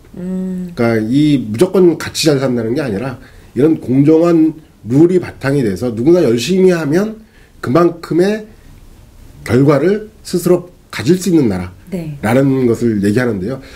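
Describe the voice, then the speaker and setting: Somewhat breathy, the voice moves at a moderate pace with very wide pitch swings. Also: man, fairly high pitch for a man. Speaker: economist interviewed guest. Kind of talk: interview answer.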